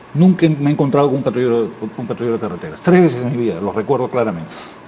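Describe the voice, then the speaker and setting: A man speaks at a very fast pace with very wide pitch swings. Noticeable background noise runs underneath. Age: 60s. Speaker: political commentator. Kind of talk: panel discussion.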